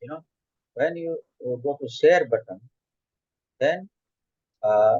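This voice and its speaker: A man's fairly slow speech in a dry, close sound with no echo. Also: big swings in loudness. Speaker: psychologist and trainer. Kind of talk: tutorial. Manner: halting.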